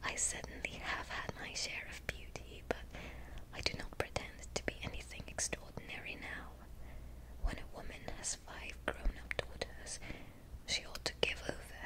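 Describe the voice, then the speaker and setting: Whispered speech at a moderate pace, with noticeable noise in the background. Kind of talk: read-aloud dialogue with voiced characters. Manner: soft-spoken, whispery, relaxing.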